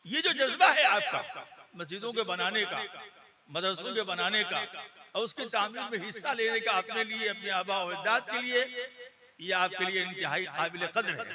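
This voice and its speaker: A man with a high pitch speaks in a raised, projected voice against noticeable background noise. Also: ordinary pitch variation. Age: 70s. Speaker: Islamic cleric. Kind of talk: religious speech.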